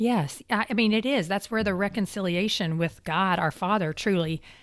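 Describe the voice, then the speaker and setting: A woman's voice with ordinary pitch variation, in a very clean recording with a silent background. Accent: Kentucky. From Kentucky. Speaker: podcast host. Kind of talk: interview.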